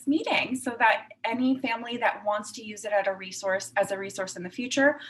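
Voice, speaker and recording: A woman with a fairly high voice speaks at a fairly quick pace with ordinary pitch variation, over noticeable background noise. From Puerto Rico. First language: Spanish. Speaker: clinical psychologist. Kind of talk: talk to parents. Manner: conversational with fillers.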